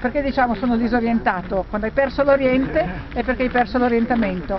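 With noticeable background noise but a dry sound with no echo, a woman speaks at a fairly quick pace in a high voice with ordinary pitch variation. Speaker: tour guide. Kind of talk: guided tour commentary. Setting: outdoors. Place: open country. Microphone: phone near.

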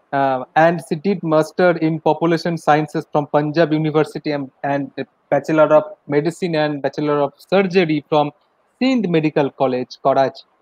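A man with an Indian accent, fairly high in pitch, at a moderate pace with fairly even intonation. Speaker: college lecturer and event organizer. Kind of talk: formal webinar hosting. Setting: video call. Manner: formal.

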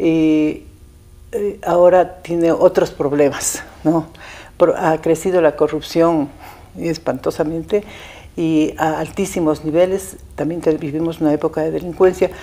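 A woman speaks with a dark, mellow tone and fairly even intonation. Her pace is fairly slow. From Ecuador, Ibarra; Ecuador. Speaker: former attorney general. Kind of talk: interview. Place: studio. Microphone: lapel.

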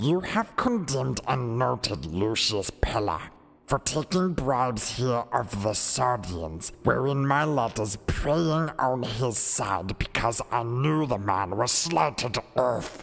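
A put-on character voice speaks fairly slowly at a low-to-middle pitch. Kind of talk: competition audition performing a dramatic scene.

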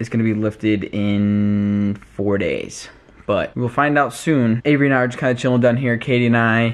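His intonation is fairly even. The man speaks at a moderate pace. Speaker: family vlogger. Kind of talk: casual vlog chat. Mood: relaxed, self-mocking. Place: home room. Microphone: phone near.

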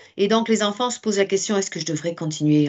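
Her pitch swings very widely. The woman's voice sits at a medium pitch. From France. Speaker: teacher. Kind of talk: webinar presentation. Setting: video call.

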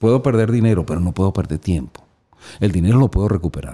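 A man's fairly low, dark and mellow voice with vocal fry, over a quiet background. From Venezuela. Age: 50s. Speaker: motivational speaker and publisher; motivational speaker. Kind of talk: casual chat. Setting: studio. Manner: animated. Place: home room. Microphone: studio mic.

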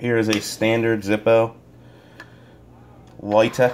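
A man speaking very slowly in a flat monotone, over noticeable background noise. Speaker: gear reviewer. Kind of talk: casual talk to camera.

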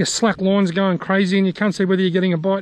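The sound is dry with no echo as a man speaks at a high pitch. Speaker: fishing vlogger. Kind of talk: casual vlog chat. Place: waterside. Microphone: phone near.

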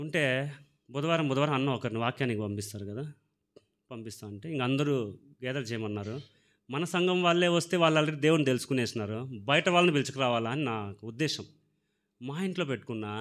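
A man's medium-pitched voice with ordinary pitch variation, against a quiet background. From Andhra Pradesh, Rayalaseema (Palamaner/Madanapalle); Andhra Pradesh, India. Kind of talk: testimony. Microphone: handheld.

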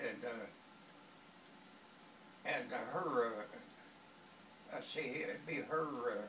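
There is light background noise and audible room echo around this man's voice. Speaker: grandfather. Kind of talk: casual storytelling to family. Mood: amused, cheerful. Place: home room. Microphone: phone near.

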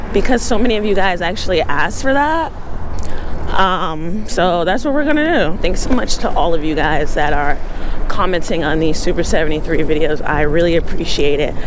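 The sound is dry with no echo, and the speech goes at a moderate pace over noticeable background noise. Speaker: e-bike vlogger. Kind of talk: casual vlog chat. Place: bicycle. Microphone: phone near.

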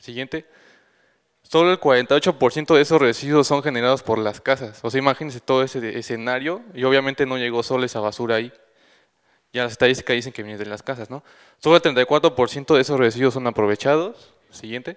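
In a quiet background, a man talks at a fairly quick pace with big swings in loudness and ordinary pitch variation. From Mexico City. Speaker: recycling initiative founder; conference presenter. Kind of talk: conference talk; panel Q&A. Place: hall. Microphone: handheld.

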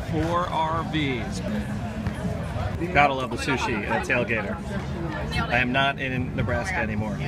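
Crowd noise fills the background. The speaker moves at a fairly slow pace. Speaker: traveling daily vlogger. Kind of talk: casual vlog chat. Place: street. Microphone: phone near.

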